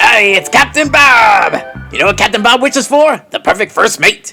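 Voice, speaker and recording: A man's put-on character voice at an extremely high pitch and moderate pace, with faint music in the background. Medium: read story. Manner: hearty, bossy.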